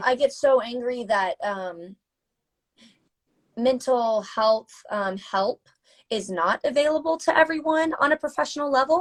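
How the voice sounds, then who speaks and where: Speaking with an American accent, a woman uses lively intonation at a high pitch, with long, frequent pauses and a dry, close sound with no echo. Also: fairly slow pace. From US South. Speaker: mental health advocate, interviewer. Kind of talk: casual chat. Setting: Instagram live video call.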